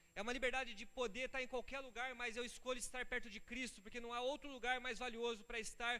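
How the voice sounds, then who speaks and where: The voice is raised and projected, with a bright, sharp tone and a fairly quick pace. Room echo is audible. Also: man. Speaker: pastor. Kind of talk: sermon. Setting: church. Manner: fast; animated.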